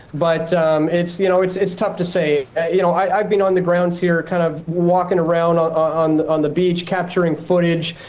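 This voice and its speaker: Someone with a Canadian accent talks at a moderate pace with hardly any pauses, amid noticeable background noise. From Canada. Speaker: journalist reporting from the scene. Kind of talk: live news interview. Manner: halting, many fillers and repeats.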